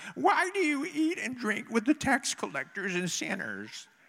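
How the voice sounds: A man puts on a character voice, pitched extremely high with very wide swings, speaking at a moderate pace.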